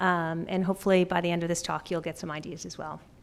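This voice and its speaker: A woman speaks at a fairly quick pace in a fairly low pitch. Her intonation is monotone and flat, with a slight Canadian accent. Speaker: pediatric dentist. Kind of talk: conference talk. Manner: fast.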